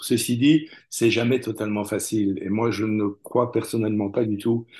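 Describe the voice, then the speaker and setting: This man's voice has a dark, mellow tone at a medium pitch, moving at a moderate pace over a quiet background. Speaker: translator. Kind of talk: interview. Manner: halting, frequent repetitions.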